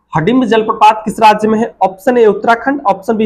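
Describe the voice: A man talks fast at a high pitch. His tone is slightly mellow with a slightly husky edge.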